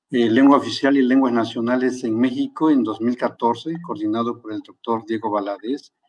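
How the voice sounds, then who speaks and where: With an Oaxacan accent, a man speaks at a moderate pace and medium pitch, his intonation fairly even and hardly any pauses in between. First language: Mazatec (speaking Spanish). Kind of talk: formal book presentation. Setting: remote online event. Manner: hesitant with fillers.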